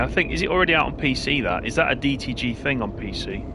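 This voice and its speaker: Noticeable background noise and audible room echo surround the recording. A man speaks in a Lancashire accent. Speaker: gaming streamer. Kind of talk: live gameplay commentary chatting with viewers. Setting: live stream with headset. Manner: casual, conversational.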